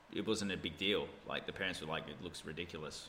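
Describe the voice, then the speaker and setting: A man with an Australian accent, fairly quick pace and a bright, sharp tone. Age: 30s. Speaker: gamer. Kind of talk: casual chat.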